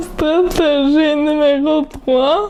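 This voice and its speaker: Noticeable background noise accompanies a woman speaking at a high pitch. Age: 20s. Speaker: university student and painter. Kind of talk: personal testimony presentation.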